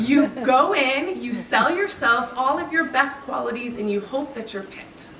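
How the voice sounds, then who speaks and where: Amid noticeable background noise and audible room echo, a woman uses a raised, projected voice at a high pitch. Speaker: graduation speaker. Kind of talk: speech.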